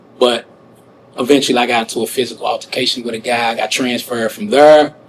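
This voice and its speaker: Over noticeable background noise, a man with an American accent talks at a very fast pace in a medium pitch with ordinary pitch variation. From St. Louis, Missouri, US. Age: 40s. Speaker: wrongfully convicted prisoner. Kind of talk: interview testimony. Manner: conversational, frequent fillers.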